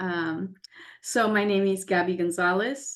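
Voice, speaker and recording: Against a quiet background, a woman with a Spanish accent speaks at a medium pitch, with ordinary pitch variation. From Mexico, then US. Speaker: scientist / STEM professional. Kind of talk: panel webinar talk. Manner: repeats words, some fillers.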